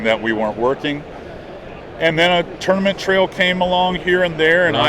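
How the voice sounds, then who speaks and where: A man talks at a moderate pace in a high pitch, his intonation lively and his loudness very even. Noticeable background noise sits behind him. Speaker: podcast guest, fishing television host.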